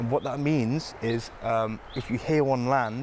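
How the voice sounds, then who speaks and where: A quiet man's voice at medium pitch, with fairly even intonation. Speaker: field guide in a comedy mockumentary. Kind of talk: mock documentary field presenting. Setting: outdoors in woodland. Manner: hushed, quiet voice; hesitant, with fillers and repeats.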